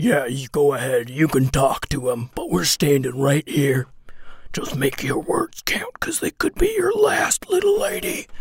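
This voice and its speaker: A gruff put-on character voice sits at a low-to-middle pitch and moves at a moderate pace. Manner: gruff, threatening.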